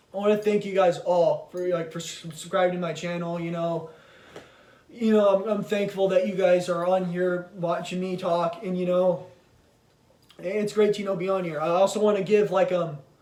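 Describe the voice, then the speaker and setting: Through noticeable background noise, a man talks at a high pitch with monotone, flat intonation. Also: moderate pace. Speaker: YouTuber talking about movies. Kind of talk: casual vlog monologue. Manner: halting, many fillers and repetitions.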